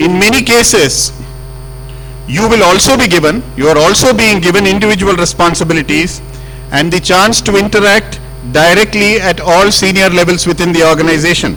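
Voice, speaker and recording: A man speaks at a fairly quick pace in a high pitch, his loudness very even. Noticeable background noise runs behind him. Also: ordinary pitch variation. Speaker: senior telecom executive addressing engineers. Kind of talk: speech to staff.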